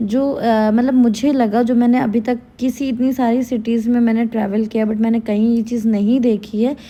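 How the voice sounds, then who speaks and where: Her pitch is fairly high for a woman. The intonation is monotone and flat. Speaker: travel vlogger. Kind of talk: travel vlog. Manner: loud.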